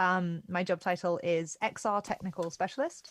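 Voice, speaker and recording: The woman's voice sits fairly low in pitch, and her intonation is fairly even. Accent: British. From Britain. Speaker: XR technical specialist. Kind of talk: live workshop stream. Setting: video call with slight delay.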